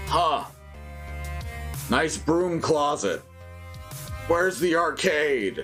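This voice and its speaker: In a put-on character voice at middle pitch, the speaker goes very slowly with long, frequent pauses while clear music plays in the background. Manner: unimpressed, sarcastic.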